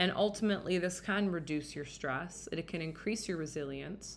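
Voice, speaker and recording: Her voice carries audible room echo. The woman's intonation is lively. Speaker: dating and relationship podcast host. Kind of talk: solo podcast monologue. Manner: casual, filler-heavy.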